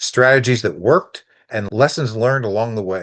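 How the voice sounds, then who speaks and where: A man with an unremarkable speaking voice talks at a moderate pace and medium pitch. His pitch variation is ordinary, and the background is quiet. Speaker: podcast host. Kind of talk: podcast intro.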